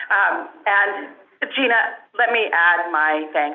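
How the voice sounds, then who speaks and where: Lively intonation marks a woman's medium-pitched voice, heard through noticeable background noise and audible room echo. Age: 60s. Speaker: elected representative. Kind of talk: ceremonial speech.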